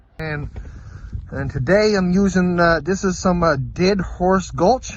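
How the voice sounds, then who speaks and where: A loud, high-pitched man's voice at a fairly slow pace. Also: ordinary pitch variation. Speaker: trapper, outdoor vlogger. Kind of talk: casual vlog narration. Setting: outdoors, cold trapline. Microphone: phone recording, weak in cold.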